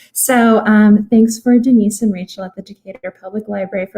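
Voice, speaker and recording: Soft-spoken and somewhat breathy, a woman with a dark, mellow tone and medium pitch speaks at a fairly quick pace in a flat monotone, the sound dry and close with no echo. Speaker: legal aid worker. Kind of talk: public presentation.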